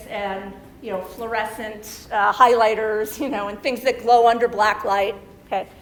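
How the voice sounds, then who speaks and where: Against noticeable background noise, a woman speaks at a moderate pace. Her fairly high voice stays monotone and flat. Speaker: chemistry lecturer. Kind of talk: lecture. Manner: many fillers, okay and um.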